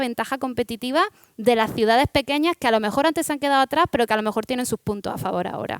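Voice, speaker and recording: A woman with an Andalusian accent speaks very fast in a high voice with lively intonation. The recording is very clean, dry and close, with a silent background and no echo. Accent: Almerían Spanish. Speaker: startup founder. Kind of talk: panel discussion.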